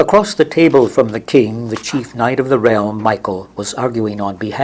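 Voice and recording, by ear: Someone is reading aloud in a natural voice, and the pitch rises and falls in an ordinary way.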